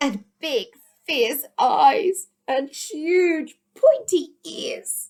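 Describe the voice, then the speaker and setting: A put-on character voice moves at a very slow pace. Its pitch swings very widely. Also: woman, extremely high pitch for a woman. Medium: read story.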